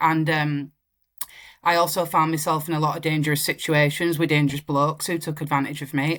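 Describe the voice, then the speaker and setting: A woman with a Yorkshire accent speaks at a very deep, low pitch in a monotone, flat intonation. The recording is very clean, with a silent background. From northern England, Wakefield. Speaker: singer-songwriter. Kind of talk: interview.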